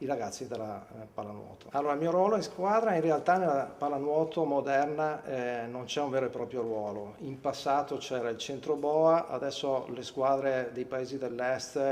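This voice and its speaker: With hardly any pauses, a man talks at a moderate pace in a fairly high pitch with ordinary pitch variation. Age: 50s. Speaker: former swimmer and water polo player. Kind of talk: interview testimony. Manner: hesitant, many fillers.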